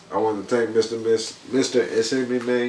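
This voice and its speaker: There is noticeable background noise as a man talks at a moderate pace. His medium-pitched voice has monotone, flat intonation. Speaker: rap artist. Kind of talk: casual interview.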